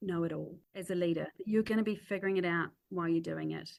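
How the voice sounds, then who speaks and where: A woman speaks with a New Zealand accent. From New Zealand (Christchurch). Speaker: chief executive and crisis leadership expert. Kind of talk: podcast interview.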